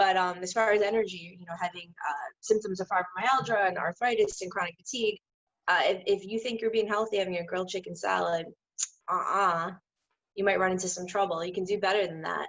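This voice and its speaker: A woman speaks at a fairly quick pace. Her pitch sits in the medium range. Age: 30s. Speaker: holistic health counselor and fitness trainer. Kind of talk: casual chat. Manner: animated.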